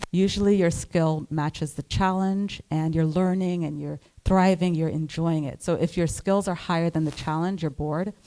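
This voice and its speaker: A woman in a Trinidadian accent with a fairly low pitch, a dark, mellow tone, fairly even intonation and hardly any pauses, in a very clean recording with a silent background. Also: moderate pace. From Trinidad, raised partly in New Jersey. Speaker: psychiatrist. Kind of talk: panel interview on stage.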